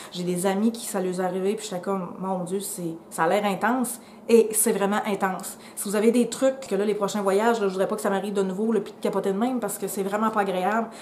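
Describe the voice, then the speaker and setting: A woman at medium pitch in a Quebec accent, talking at a fairly quick pace with hardly any pauses, amid noticeable background noise. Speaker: travel vlogger. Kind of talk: casual vlog talk to camera. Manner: fast; animated.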